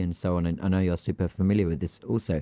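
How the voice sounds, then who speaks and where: Against a quiet background, a man's very deep, low voice carries a dark, mellow tone in a dry, close sound with no echo. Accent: British. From Greece. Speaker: aviation podcast host. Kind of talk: casual chat.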